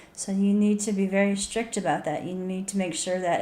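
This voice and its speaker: Amid audible room echo, a woman talks at a moderate pace and medium pitch in a monotone, flat intonation. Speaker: author and video blogger. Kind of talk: casual tips talk to camera. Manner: halting, repeats words.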